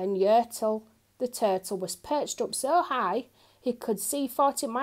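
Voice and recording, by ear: A passage is read aloud. The reading voice is natural.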